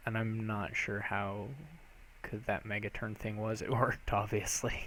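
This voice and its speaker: Quiet and monotone with flat intonation, a man speaks at a fairly low pitch in a bright, sharp tone. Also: moderate pace. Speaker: game streamer. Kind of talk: live gameplay commentary. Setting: live stream. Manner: quiet, speaks low.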